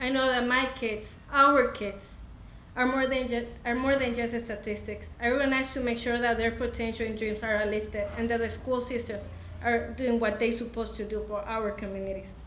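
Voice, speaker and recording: A woman with a Spanish accent speaks at a fairly high pitch and a moderate pace in a monotone, flat way, with audible room echo and noticeable background noise. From Mexico. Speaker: parent and community organizer. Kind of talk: prepared speech. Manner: halting.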